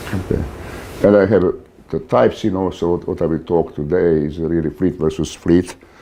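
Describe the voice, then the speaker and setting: Noticeable background noise sits behind a man speaking at a fairly quick pace with a non-native accent. His very deep, low voice keeps a fairly even intonation. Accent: foreign. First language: not English. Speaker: author and naval warfare lecturer. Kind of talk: lecture. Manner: hesitant, many fillers.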